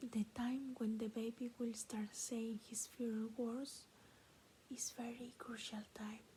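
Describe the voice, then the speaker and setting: A woman speaks at a very slow pace with monotone, flat intonation. Her voice is fairly high, with a dark, mellow tone. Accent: Peruvian. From Peru. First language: Spanish. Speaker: ASMR creator. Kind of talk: reading aloud; casual chat. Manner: soft-spoken; halting.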